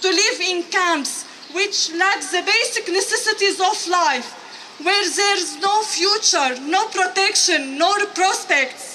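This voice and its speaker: Over noticeable background noise, a woman with an extremely high pitch uses a raised, projected voice at a very slow pace, her loudness very even and her intonation lively. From Syria. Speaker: refugee artist and activist. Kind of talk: prepared testimony speech. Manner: halting, occasional restarts.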